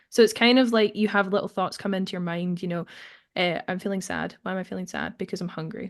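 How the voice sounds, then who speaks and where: A woman speaks very fast at a medium pitch with vocal fry. Her intonation stays fairly even. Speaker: actor and filmmaker. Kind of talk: podcast interview.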